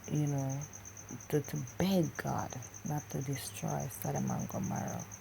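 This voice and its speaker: A quiet woman's voice at a fairly slow pace, with audible room echo. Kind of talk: religious vlog monologue. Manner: talking low, quiet.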